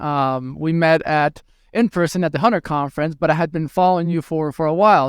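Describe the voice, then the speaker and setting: A man with a fairly high pitch and fairly even intonation at a fairly quick pace, in a dry, close, echo-free sound on a very clean recording with a silent background. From Venezuela, moved to US at ten. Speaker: hospitality tech executive. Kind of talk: interview. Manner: hesitant, many fillers and repeats.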